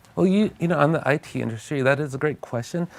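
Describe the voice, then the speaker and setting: The speaker has a Californian accent. The pace is very fast. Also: man. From US, California. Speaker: tech company CEO. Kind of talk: TV interview.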